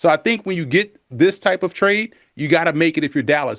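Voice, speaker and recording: In a New Orleans accent, a man speaks with an animated tone and ordinary pitch variation over a quiet background. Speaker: football analyst. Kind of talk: TV sports analysis.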